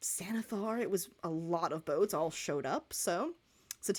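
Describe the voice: Plain reading aloud and ordinary pitch variation throughout.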